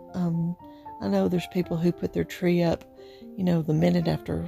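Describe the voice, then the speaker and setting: A woman with an Appalachian accent speaks in a warm tone, with music in the background. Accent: Appalachian drawl. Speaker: home decor and thrift vlogger. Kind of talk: casual talk to camera. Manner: chatty, warm.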